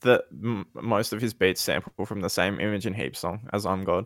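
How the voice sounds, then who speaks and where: An Australian accent in a very clean recording with a silent background. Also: man. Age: 20s. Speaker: podcast co-host and rapper. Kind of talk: casual chat. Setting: voice chat stream.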